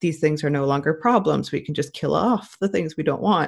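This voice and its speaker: A woman with a very deep, low pitch and vocal fry speaks at a very fast pace in a very clean recording with a silent background. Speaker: podcast co-host. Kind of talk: casual discussion of news.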